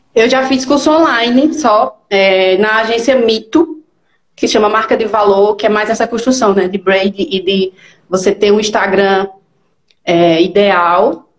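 In a plain, everyday voice, a woman speaks fairly slowly at a fairly high pitch with ordinary pitch variation. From Pernambuco, northeastern Brazil (Garanhuns). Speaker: digital strategist. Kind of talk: live interview.

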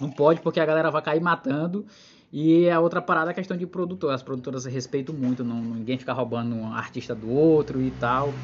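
At a fairly quick pace, a man with a normal speaking voice and fairly high pitch speaks with ordinary pitch variation. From interior of Maranhão, Brazil. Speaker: podcast host and stand-up comedian. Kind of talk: casual chat.

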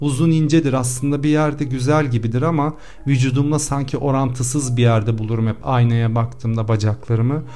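A man's dark, mellow voice at a fairly quick pace, with hardly any pauses and audible room echo. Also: medium pitch for a man, fairly even intonation. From Cyprus. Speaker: podcast host, actor. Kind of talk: personal confessional monologue.

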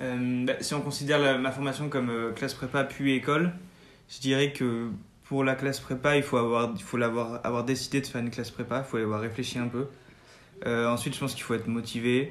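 The speaker talks at a fairly quick pace. The intonation is monotone and flat. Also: man, medium pitch for a man. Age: 20s. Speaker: business school student. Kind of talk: interview. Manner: halting.

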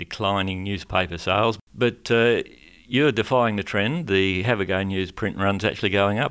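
A fairly low male voice with an Australian accent and ordinary pitch variation, on a very clean recording with a silent background. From Western Australia. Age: 60s. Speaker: radio host. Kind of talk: radio interview. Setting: studio.

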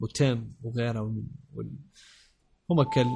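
A man's voice at a medium pitch comes across as somewhat breathy. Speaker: podcast host. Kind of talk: casual chat.

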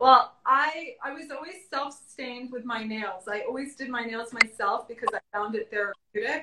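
Her voice is high-pitched, with big swings in loudness. The woman speaks with hardly any pauses. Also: ordinary pitch variation, moderate pace. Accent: American. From South Florida suburbs. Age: 30s. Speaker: fashion influencer. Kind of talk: casual chat. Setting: live stream from home.

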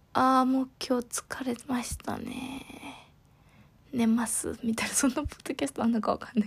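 A woman's high pitch and relaxed tone at a moderate pace, with fairly even intonation and big swings in loudness. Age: 30s. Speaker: podcast host. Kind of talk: casual solo monologue.

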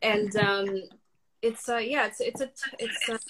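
A woman speaks with a somewhat breathy quality and a fairly high pitch. Her pace is fairly quick. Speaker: guest. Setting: Instagram live video.

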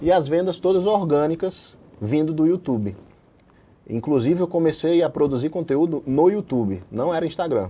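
At a moderate pace, a man speaks in a fairly high, dark and mellow voice with lively intonation. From Brazil, Paraíba. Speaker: anesthesiologist and online medical educator. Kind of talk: interview.

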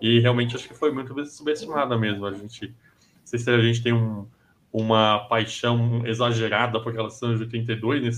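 The man talks at a moderate pace. His intonation is monotone and flat. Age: 30s. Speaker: sports commentator. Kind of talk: casual chat.

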